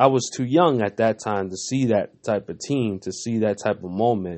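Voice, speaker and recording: Speaking fairly quickly, a man uses an ordinary speaking voice at medium pitch with ordinary pitch variation. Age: 30s. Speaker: basketball podcast host. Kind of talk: solo sports commentary podcast. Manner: casual, filler-heavy.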